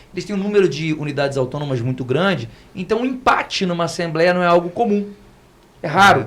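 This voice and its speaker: Talking very fast with lively intonation, a man with a high-pitched voice comes through over noticeable background noise. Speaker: lawyer. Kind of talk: podcast panel discussion.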